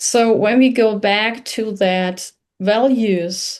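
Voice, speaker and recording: With a German accent and medium pitch, a woman speaks against a quiet background. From Germany. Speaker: podcast host. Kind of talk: interview. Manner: halting.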